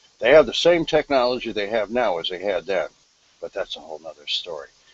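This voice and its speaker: A man's voice amid noticeable background noise. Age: 60s. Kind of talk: casual chat.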